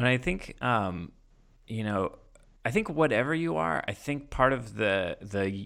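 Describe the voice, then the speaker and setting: A man with a bright, sharp tone and lively intonation comes through on a very clean recording with a silent background. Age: 30s. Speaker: podcast host and artist. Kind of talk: casual interview chat. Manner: fast, excited talker.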